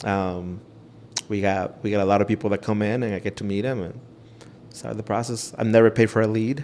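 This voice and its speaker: A Spanish accent with fairly even intonation. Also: man, fairly low pitch for a man, fairly quick pace. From Ecuador. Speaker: realtor. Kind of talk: interview.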